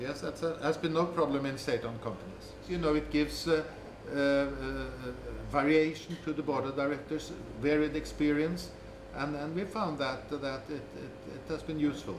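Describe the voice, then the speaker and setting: A fairly high-pitched male voice with fairly even intonation, audible room echo and noticeable background noise. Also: moderate pace. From Norway. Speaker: government official on state ownership. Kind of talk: interview. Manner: halting, many repetitions.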